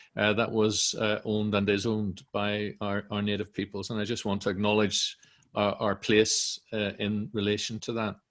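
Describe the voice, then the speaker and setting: With a monotone, flat intonation, a man talks at a moderate pace in a fairly low pitch. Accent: Northern Irish. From Northern Ireland. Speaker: director of a centre, event moderator. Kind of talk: online panel introduction. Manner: hesitant, many fillers.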